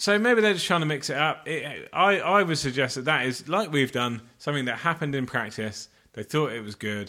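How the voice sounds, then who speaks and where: A man with an English accent speaks at a fairly quick pace with hardly any pauses, his fairly high, bright, sharp voice making very wide pitch swings on a very clean recording with a silent background. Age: 40s. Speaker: podcast co-host. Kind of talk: casual chat.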